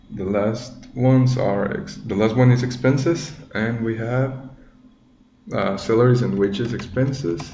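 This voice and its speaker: A man at medium pitch with a non-native accent, very slow pace and ordinary pitch variation, amid noticeable background noise and audible room echo. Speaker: tutorial maker, accounting student. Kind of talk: tutorial. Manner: halting, many fillers.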